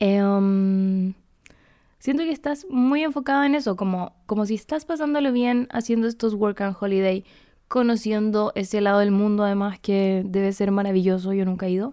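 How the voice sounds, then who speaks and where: In a very clean recording with a silent background, a woman speaks at a medium pitch with a dark, mellow tone. Her pace is moderate, her pitch variation ordinary and her loudness very even. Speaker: podcast host. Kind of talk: advice show, reading listener letters. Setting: home recording. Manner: casual, chatty.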